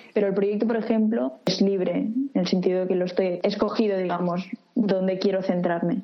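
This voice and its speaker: Music plays in the background as a woman speaks at a moderate pace with ordinary pitch variation and very even loudness. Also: medium pitch for a woman. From Catalonia, Reus. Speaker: architecture student. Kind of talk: interview. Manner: halting.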